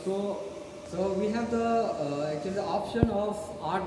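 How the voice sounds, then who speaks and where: Audible room echo and noticeable background noise. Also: man. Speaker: product demonstrator. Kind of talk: product demonstration explanation. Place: hall. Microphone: camera far.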